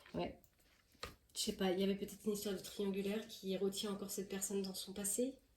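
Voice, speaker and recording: A woman's voice sits at a medium pitch with a dark, mellow tone and is somewhat breathy. She speaks at a fairly quick pace. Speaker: tarot card reader. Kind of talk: tarot reading. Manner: fast; halting.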